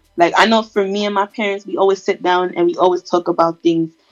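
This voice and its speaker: Fairly quick speech from a woman over background music. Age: 20s. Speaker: podcast co-host. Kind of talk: casual chat. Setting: remote recording, separate locations.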